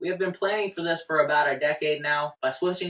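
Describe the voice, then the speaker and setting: Talking at a very fast pace, a man with an American accent has an energetic tone. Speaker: finance YouTuber. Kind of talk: casual explainer video. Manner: energetic, jokey.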